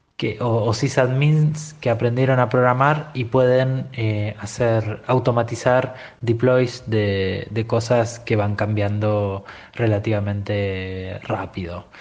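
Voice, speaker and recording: Fairly even intonation from a man speaking at a very slow pace. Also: medium pitch for a man. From Buenos Aires, Argentina. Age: 40s. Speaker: tech business owner, former sysadmin. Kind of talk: recorded opinion monologue. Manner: halting, many fillers.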